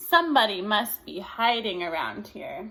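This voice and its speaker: A woman puts on a character voice at a medium pitch, her pitch swinging very widely at a moderate pace. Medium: read story.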